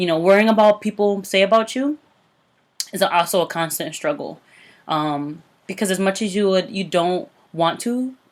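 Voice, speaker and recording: Speaking at a moderate pace with ordinary pitch variation, a woman leaves long, frequent pauses. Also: medium pitch for a woman, very clean recording, silent background. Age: 20s. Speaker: podcast host, licensed clinical social worker. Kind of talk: podcast outro; casual chat.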